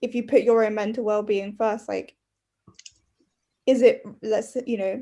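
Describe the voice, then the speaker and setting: A woman with a dark, mellow tone and a fairly high pitch speaks at a fairly slow pace, her flat, monotone delivery broken by long, frequent pauses. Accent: London. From London. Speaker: podcast co-host. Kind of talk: casual chat.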